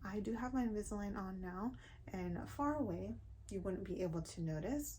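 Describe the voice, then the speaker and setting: A woman talks at a moderate pace. Her voice is medium in pitch and somewhat breathy. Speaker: beauty and lifestyle vlogger. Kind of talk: casual vlog talk.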